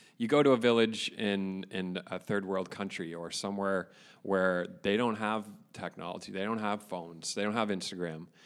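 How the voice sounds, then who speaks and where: A man with a Canadian accent speaks in a plain, everyday voice at a fairly low pitch and moderate pace, with fairly even intonation. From Ontario, Canada (Caledon area). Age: 20s. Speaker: podcast co-host. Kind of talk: casual chat. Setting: boardroom.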